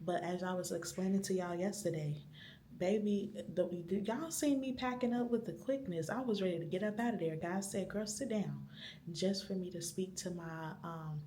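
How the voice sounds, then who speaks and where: A woman whispering at a moderate pace, with noticeable background noise and audible room echo. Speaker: vlogger. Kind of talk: vlog monologue. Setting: library.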